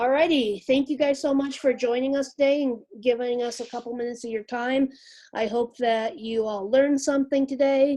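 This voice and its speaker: Her voice has a high pitch and a dark, mellow tone, with fairly even intonation at a fairly quick pace from this woman. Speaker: real estate association staff trainer. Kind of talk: webinar tutorial. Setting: video call with screen share.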